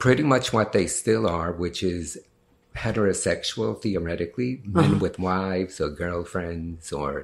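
Very deep and low, a man's voice with an American accent moves at a moderate pace with lively intonation, on a very clean recording with a silent background. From New York City, the Bronx. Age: 50s. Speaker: actor and sex worker. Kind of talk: interview.

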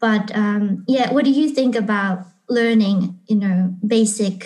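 The speaker talks in a Japanese accent with a dark, mellow tone, somewhat breathy, with fairly even intonation. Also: woman. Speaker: English teacher and YouTuber. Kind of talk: interview.

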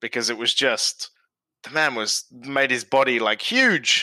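A man talks in a bright, sharp tone. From Australia. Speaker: frequent contributor. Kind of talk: casual chat.

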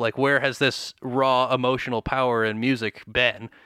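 A man speaks with an American accent at a medium pitch, his tone bright and sharp. The recording is very clean, with a silent background. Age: 20s. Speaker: rock musician. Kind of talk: casual interview chat. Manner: animated, fast, many fillers.

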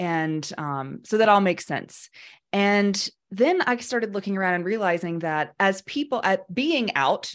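In a very clean recording with a silent background, a woman uses a normal speaking voice, medium in pitch with lively intonation. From US South. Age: 30s. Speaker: death care educator. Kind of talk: podcast interview.

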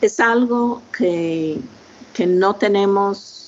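A woman with an English accent speaks over noticeable background noise. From United States. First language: English (speaking Spanish). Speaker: linguistics professor. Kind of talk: interview. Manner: halting.

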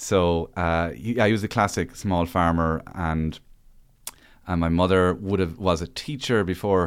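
Speaking at a moderate pace in an Irish accent, a man with a very deep, low pitch comes through on a very clean recording with a silent background. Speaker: stand-up comedian and author. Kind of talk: casual chat.

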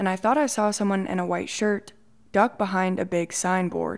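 In a very clean recording with a silent background, a woman with a plain, everyday voice speaks at a fairly quick pace, her medium pitch held in fairly even intonation. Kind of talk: horror story narration.

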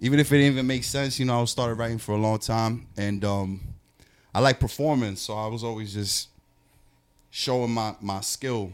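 On a very clean recording with a silent background, a man with a New York accent talks at a fairly quick pace, his medium pitch held in fairly even intonation. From New York, Queens (Jackson Heights). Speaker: rapper. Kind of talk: casual chat. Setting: studio.

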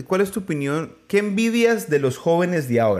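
A man speaks with a high pitch. His pitch swings very widely. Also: very clean recording, silent background. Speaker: podcast host interviewing his grandmother. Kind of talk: casual family interview. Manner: loud, speaking up for hard-of-hearing grandmother.

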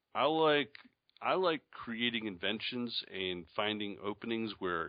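A man with a slight upstate New York accent talks at a fairly slow pace and fairly low pitch, with ordinary pitch variation. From Charlotte, North Carolina, after early childhood in Syracuse. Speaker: newsletter publisher and entrepreneur. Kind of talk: interview.

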